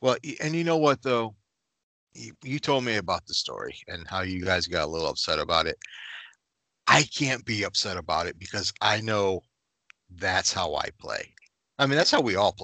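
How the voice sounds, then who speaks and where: At a moderate pace, a man speaks with long, frequent pauses, the sound dry and close with no echo against a quiet background. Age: 40s. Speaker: podcast co-host. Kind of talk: casual chat.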